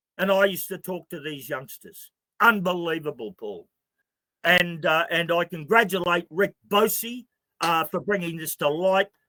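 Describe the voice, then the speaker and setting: A man's high-pitched voice with a bright, sharp tone and an Australian accent, in a dry, close sound with no echo. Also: ordinary pitch variation, moderate pace, big swings in loudness. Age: 60s. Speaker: activist spokesman. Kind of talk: interview. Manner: animated.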